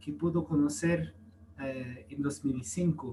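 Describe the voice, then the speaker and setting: A man with a non-native accent, somewhat breathy and dark, mellow in tone, at a fairly slow pace. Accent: foreign accent in Spanish. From US, California. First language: English (speaking Spanish). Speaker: priest. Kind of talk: testimony. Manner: halting.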